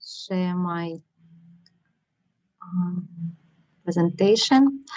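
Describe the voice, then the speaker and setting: Her voice is somewhat breathy and fairly low for a woman. The pitch varies in an ordinary way. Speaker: NGO project manager. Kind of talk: webinar presentation. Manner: halting.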